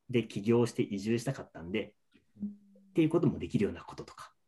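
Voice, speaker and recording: Somewhat breathy with a dark, mellow tone, a man talks at a fairly quick pace, his pitch swinging very widely. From Niigata, Nagaoka. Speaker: lodging business owner. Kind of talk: interview.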